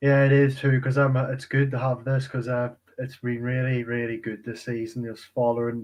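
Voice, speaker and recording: With an Irish accent, a man talks at a moderate pace at medium pitch, his intonation monotone and flat. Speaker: sports fan. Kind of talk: casual chat.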